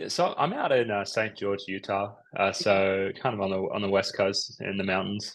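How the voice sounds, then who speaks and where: The speaker has an Australian accent against a quiet background. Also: man, moderate pace. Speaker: psychiatrist. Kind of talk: interview.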